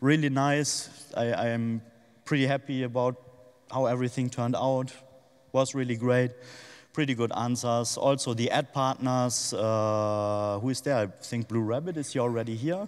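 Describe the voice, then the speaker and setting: On a very clean recording with a silent background, a man speaks with a non-native accent. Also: medium pitch for a man, fairly even intonation, moderate pace. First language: not English. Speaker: conference speaker, crypto magazine editor. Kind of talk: conference presentation. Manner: hesitant, many fillers.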